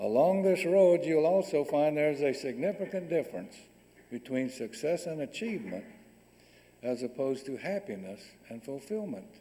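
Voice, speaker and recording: The pace is moderate while the pitch swings very widely. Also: man, fairly high pitch for a man. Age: 70s. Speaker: guest speaker. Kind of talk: lecture. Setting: stage with audience.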